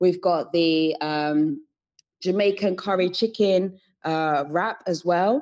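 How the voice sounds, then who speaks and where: Against a quiet background, a woman with a British accent speaks at a very slow pace. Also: fairly low pitch for a woman, ordinary pitch variation. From UK, Sierra Leonean family. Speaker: entrepreneur, founder of a women's organization. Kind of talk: podcast interview.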